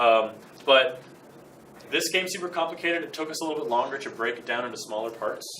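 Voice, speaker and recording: Mumbling very fast with lively intonation, a man speaks through noticeable background noise and audible room echo. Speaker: student game development club leader. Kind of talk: club meeting presentation. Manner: casual, many fillers.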